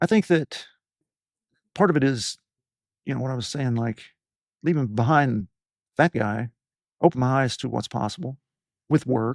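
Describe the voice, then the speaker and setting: Recorded with a dry, close sound and no echo, a man with an American accent speaks at medium pitch with ordinary pitch variation, pausing long and often. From Appalachia, US. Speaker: physician and podcast host. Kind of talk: interview conversation. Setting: studio.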